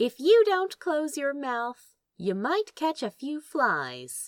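A woman speaks very slowly in a high voice with very wide pitch swings. The sound is dry and close with no echo, on a very clean recording with a silent background. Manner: teasing, amused, wry.

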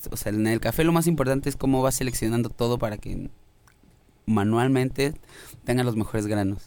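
With a Mexican accent, the speaker talks at a fairly quick pace with ordinary pitch variation and long, frequent pauses. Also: man, medium pitch for a man. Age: 20s. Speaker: musician. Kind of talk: casual chat.

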